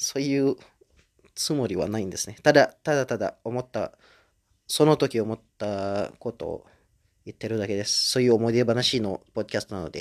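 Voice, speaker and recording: A medium-pitched man with an Indonesian accent, ordinary pitch variation and a moderate pace, the sound dry and close with no echo. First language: Indonesian (speaking Japanese). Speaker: podcaster. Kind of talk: casual solo monologue. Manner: halting, many fillers.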